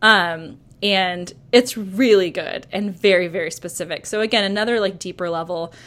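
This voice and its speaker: Here is an ordinary speaking voice with ordinary pitch variation. The pace is moderate. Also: woman, medium pitch for a woman. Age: 30s. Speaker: Enneagram coach and podcaster. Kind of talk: casual chat.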